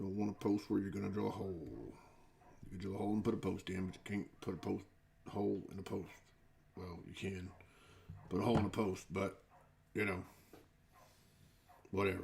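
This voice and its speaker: With a Texas accent, a man talks fairly quickly at a fairly low pitch, using vocal fry, flat monotone intonation, big swings in loudness and long, frequent pauses. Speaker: miniature hobby streamer. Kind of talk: live stream hobby tutorial while crafting. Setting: live stream. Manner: casual, chatty.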